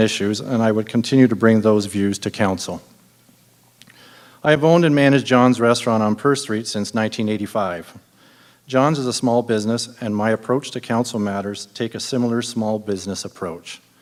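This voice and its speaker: A plain, everyday voice comes with a Canadian accent. The pace is moderate, with ordinary pitch variation. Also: man. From Ontario, Canada. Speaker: city councillor candidate. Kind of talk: prepared campaign speech.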